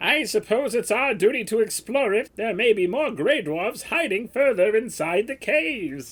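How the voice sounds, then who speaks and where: Using a cartoonish character voice, a man speaks at a moderate pace with a high pitch and hardly any pauses. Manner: earnest, formal.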